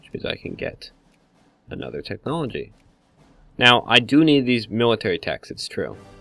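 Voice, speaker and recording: With music playing in the background, the speech comes with long, frequent pauses and big swings in loudness. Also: man, moderate pace. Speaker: gaming YouTuber. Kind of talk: let's play commentary. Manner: hesitant, many fillers.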